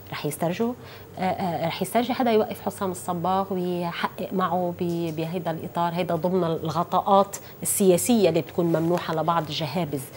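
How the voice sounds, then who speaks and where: A woman's fairly low voice, a normal speaking voice, at a moderate pace with ordinary pitch variation over light background noise. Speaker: TV talk show host. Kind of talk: interview introduction. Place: studio. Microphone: lapel.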